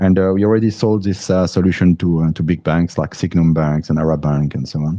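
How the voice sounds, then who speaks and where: Speaking with a French accent, a man uses a very deep, low voice with a dark, mellow tone and fairly even intonation. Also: fairly quick pace. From France. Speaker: crypto app founder, engineer. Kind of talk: livestream interview.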